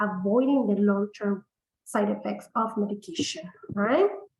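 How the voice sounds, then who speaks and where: A somewhat breathy woman's voice at a fairly slow pace. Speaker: integrative medicine practitioner. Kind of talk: webinar sales pitch. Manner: hesitant, many fillers.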